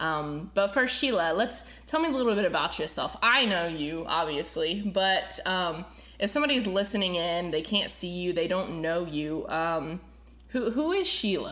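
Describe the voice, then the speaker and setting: A woman with an American accent speaks at a moderate pace, her tone bright and sharp. Her intonation is lively, and room echo is audible. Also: medium pitch for a woman. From Florida. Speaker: podcast host and worship pastor. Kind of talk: casual chat. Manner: many filler words.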